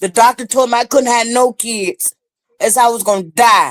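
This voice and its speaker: A woman speaks at fairly high pitch with ordinary pitch variation. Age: 60s. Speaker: mother of a missing person. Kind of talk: interview. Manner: emotional.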